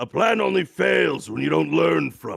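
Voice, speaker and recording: Very deep, low-pitched put-on character voice from a man. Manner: put-on, dramatic.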